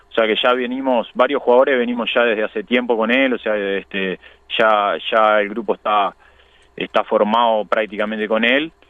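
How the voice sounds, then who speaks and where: An ordinary speaking voice at a moderate pace with fairly even intonation. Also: man, medium pitch for a man. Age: 30s. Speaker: professional footballer. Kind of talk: radio phone interview.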